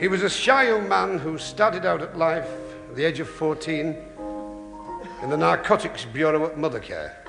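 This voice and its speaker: A fairly high-pitched man with very wide pitch swings and long, frequent pauses, music in the background. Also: moderate pace. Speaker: comedian. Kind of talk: comedy monologue.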